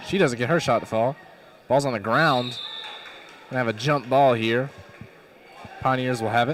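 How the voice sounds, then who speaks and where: Amid noticeable background noise, a man with a medium pitch speaks at a fairly quick pace. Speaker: play-by-play announcer. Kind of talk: live commentary.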